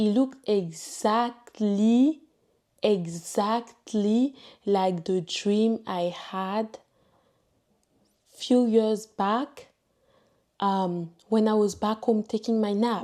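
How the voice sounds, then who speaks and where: A woman's fairly high, dark and mellow voice in a French accent, at a very slow pace with long, frequent pauses and fairly even intonation, on a very clean recording with a silent background. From Ivory Coast. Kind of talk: testimony. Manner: halting.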